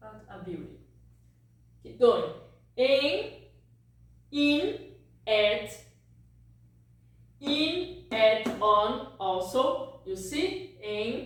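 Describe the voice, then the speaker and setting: A woman with a fairly high, somewhat breathy voice speaks at a very slow pace, leaving long, frequent pauses. Her pitch swings very widely and her loudness shifts a lot, with audible room echo. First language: Portuguese. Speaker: language teacher. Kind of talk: tutorial.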